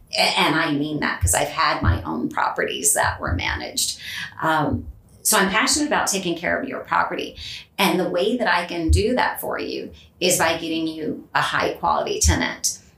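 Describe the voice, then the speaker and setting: A woman with a Californian accent speaks at a moderate pace. Noticeable background noise and audible room echo surround her voice. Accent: Californian American. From Southern California. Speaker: property manager. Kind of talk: interview. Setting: studio.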